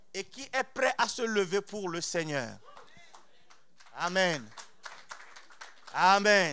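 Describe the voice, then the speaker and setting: Over crowd noise, a man speaks very slowly in a raised, projected, high-pitched voice, bright and sharp in tone, with lively intonation, big swings in loudness, and long, frequent pauses. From outside France. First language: not French (speaking French). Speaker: preacher. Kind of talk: sermon. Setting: church. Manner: animated.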